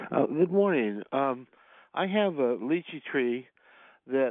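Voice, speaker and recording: With a normal speaking voice, a man talks at medium pitch and uses ordinary pitch variation. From Florida (Clearwater). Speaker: caller. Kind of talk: call-in question.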